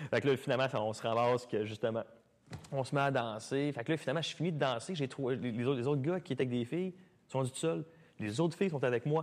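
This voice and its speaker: A man speaks very fast at a medium pitch. His pitch varies in an ordinary way. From Quebec (Mont-Saint-Hilaire). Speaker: dancer and dance studio owner. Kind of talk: casual chat. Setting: studio with live audience.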